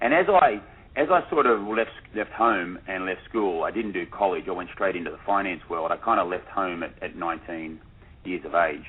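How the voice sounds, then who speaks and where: A man with an Australian accent speaks at a moderate pace, his fairly low voice moving with ordinary pitch variation. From Australia, Sydney. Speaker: documentary filmmaker. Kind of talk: radio interview. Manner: hesitant, many repetitions.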